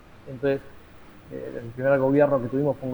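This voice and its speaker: This is a man speaking at a medium pitch. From Argentina. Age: 50s. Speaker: teacher and lawyer, political activist. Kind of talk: interview. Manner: halting, many fillers.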